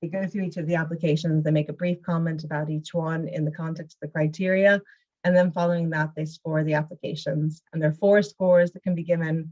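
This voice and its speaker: A woman speaking very fast in a fairly low, somewhat breathy voice with monotone, flat intonation. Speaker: arts funding officer. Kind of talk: information session presentation.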